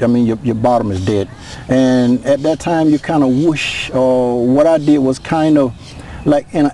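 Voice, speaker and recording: A man speaks at a medium pitch with ordinary pitch variation. The sound is dry with no echo, over light background noise. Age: 60s. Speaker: former reform school inmate. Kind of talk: interview testimony. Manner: halting. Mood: somber, recalling painful past. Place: open country.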